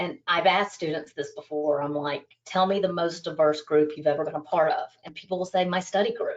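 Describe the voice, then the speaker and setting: In an American accent, this unremarkable speaking voice moves at a moderate pace. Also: woman. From United States. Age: 40s. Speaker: business school dean. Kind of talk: interview.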